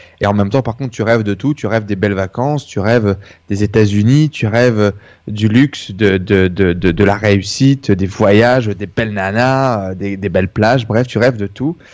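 Pitch varies in an ordinary way as a man talks at a moderate pace. The background is quiet. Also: fairly low pitch for a man. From northern France (Denain). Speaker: entrepreneur. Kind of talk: interview testimony. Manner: halting.

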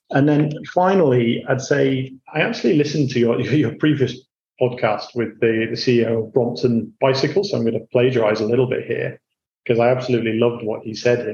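A man with a dark, mellow tone talks at a fairly quick pace, somewhat breathy and with fairly even intonation. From Yorkshire, northern England (Hull). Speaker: banking executive. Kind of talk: interview.

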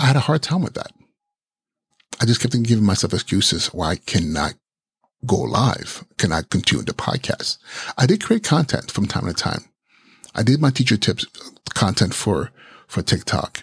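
The voice has vocal fry and very wide pitch swings, with long, frequent pauses. The sound is dry and close, with no echo. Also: man, medium pitch for a man. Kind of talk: solo podcast monologue, live-streamed. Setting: live video stream. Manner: halting, many fillers; self-described stutter; brain moves faster than mouth.

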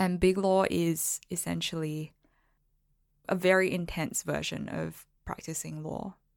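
On a very clean recording with a silent background, a woman talks at a fairly slow pace in a very deep, low voice with fairly even intonation. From Singapore, moved to Melbourne as a child. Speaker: lawyer and blogger. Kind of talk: casual interview.

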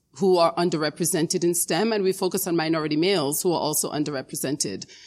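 A plain, everyday voice belongs to a woman with an American accent and fairly low pitch. The recording is very clean, with a silent background. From Dominica, then South Bronx, New York. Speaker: education foundation executive. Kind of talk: interview.

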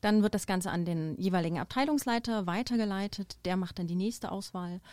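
Moderate pace, ordinary pitch variation and a dark, mellow tone on a very clean recording with a silent background. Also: woman. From eastern Germany, near Dresden. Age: 30s. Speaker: hotel HR director. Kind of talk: podcast interview. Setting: studio.

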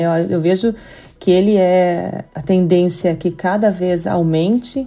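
Speaking very slowly with a dark, mellow tone, a woman in a Curitiba accent keeps her intonation fairly even. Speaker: payments company executive. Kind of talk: podcast interview.

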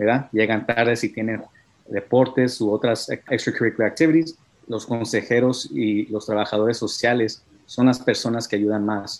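Moderately paced speech from a man at a medium pitch, fairly even in intonation, against a quiet background. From California (Hollister, central coast), Mexican-American family. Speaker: civil rights organization youth leader. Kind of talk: interview. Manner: halting, many fillers.

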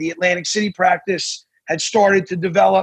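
A man's high-pitched voice with an American accent and fairly even intonation. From New Jersey. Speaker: attorney. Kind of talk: interview.

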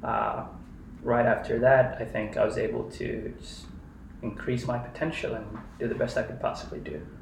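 A man speaks with long, frequent pauses. The room echo is audible. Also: moderate pace. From Kenya. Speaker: software engineer. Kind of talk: casual interview.

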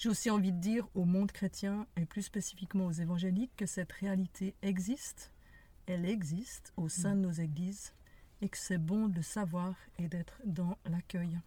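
This woman's voice has a dark, mellow tone and is somewhat breathy. She speaks at a medium pitch with fairly even intonation. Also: moderate pace. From Geneva, Switzerland. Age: 60s. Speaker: podcast co-host. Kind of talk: casual conversation. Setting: in a parked car.

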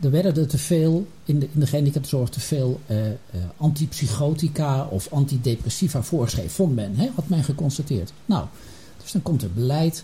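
Somewhat breathy, a man's fairly high voice carries a dark, mellow tone. His intonation is lively. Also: moderate pace. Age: 60s. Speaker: retired healthcare executive. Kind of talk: panel discussion. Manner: halting.

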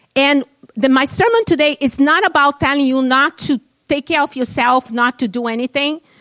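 A woman with a non-native accent and a high pitch talks at a moderate pace. The sound is dry and close, with no echo. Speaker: guest preacher. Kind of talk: sermon. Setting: church.

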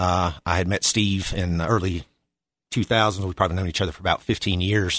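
In an Appalachian accent, a man with a very deep, low pitch talks at a fairly quick pace, the sound dry and close with no echo. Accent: Appalachian Southern US. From Boone, North Carolina. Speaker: restaurant owner, navy veteran. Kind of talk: interview.

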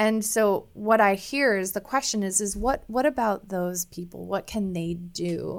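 In a plain, everyday voice with an American accent, the speaker goes at a fairly slow pace with ordinary pitch variation and hardly any pauses. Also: woman, medium pitch for a woman. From US Midwest (Iowa). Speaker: naturopathic physician and mental health expert. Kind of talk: interview.

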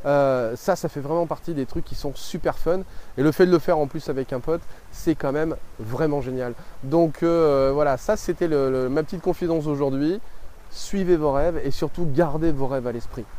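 The tone is dark and mellow. It moves at a moderate pace with ordinary pitch variation. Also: man, fairly high pitch for a man. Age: 30s. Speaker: life coach and video creator. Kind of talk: vlog monologue to camera. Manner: hesitant, many fillers.

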